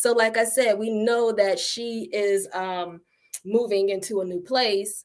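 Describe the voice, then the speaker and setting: With an ordinary speaking voice, a woman speaks at a fairly high pitch and a fairly slow pace, her intonation fairly even. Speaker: acting teacher. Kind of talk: online tutorial. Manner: casual, with many fillers.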